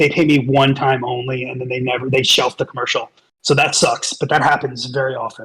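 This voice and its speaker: A man with an American accent, medium in pitch, flat and monotone in intonation, at a fairly quick pace. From New York. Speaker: voiceover actor and merch vendor. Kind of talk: casual chat. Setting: online voice chat.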